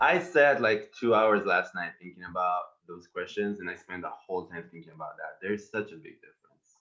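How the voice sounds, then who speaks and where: With an Israeli accent, a man speaks at a fairly quick pace in a fairly low pitch, using lively intonation and big swings in loudness with hardly any pauses. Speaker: panelist, therapist. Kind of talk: panel discussion.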